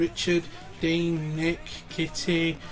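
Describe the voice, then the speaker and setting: A high-pitched man with a British accent, music playing in the background. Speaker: gaming YouTuber. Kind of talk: casual interview. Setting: home recording. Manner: stuttering.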